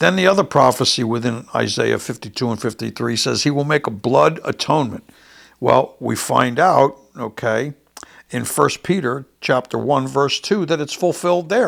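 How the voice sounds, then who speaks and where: With vocal fry and lively intonation, a man of medium pitch talks at a moderate pace. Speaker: bible teacher. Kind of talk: sermon.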